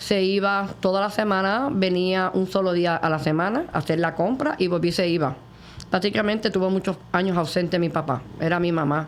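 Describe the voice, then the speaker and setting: A woman with a normal speaking voice talks at a moderate pace, her pitch medium with ordinary variation and her loudness very even. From Puerto Rico, Morovis. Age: 60s. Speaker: testimony guest. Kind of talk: testimony interview.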